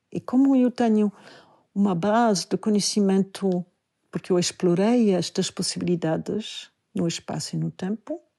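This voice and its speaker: A woman with a non-native accent and a dark, mellow tone, at a fairly slow pace, in a dry, close sound with no echo against a quiet background. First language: not Portuguese (speaking Portuguese). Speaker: Buddhist teacher and dancer. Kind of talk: podcast talk, spiritual teaching.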